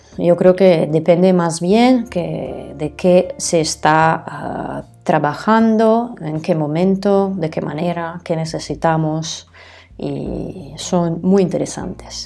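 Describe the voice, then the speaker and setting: In an Italian accent, a woman with a fairly low pitch speaks at a very slow pace, her loudness swinging widely over noticeable background noise. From northern Italy, Bergamo province. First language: Italian (speaking Spanish). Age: adult. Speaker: aromatherapist. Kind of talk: solo podcast talk. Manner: hesitant, many fillers.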